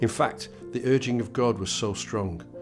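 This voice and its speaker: A man speaks at a fairly quick pace in a medium pitch, with music playing in the background. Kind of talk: prayer reading.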